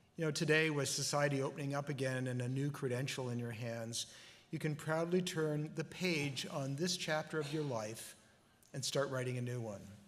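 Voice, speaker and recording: A man's fairly high voice with fairly even intonation and audible room echo. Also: moderate pace. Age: 60s. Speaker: convocation speaker. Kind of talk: commencement address. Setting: graduation ceremony.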